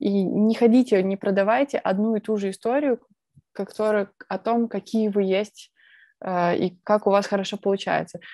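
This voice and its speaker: A woman with a dark, mellow tone speaks with fairly even intonation, in a dry sound with no echo and a quiet background. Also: moderate pace. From Belarus, Minsk; Belarus. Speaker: presentation skills speaker; speaker. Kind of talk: conference talk. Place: home room. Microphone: earbuds.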